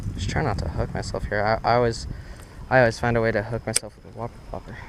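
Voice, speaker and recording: Over noticeable background noise, a man speaks very fast with fairly even intonation. His loudness swings widely. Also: medium pitch for a man. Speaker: fishing vlogger. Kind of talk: casual vlog commentary. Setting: outdoors. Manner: halting; casual.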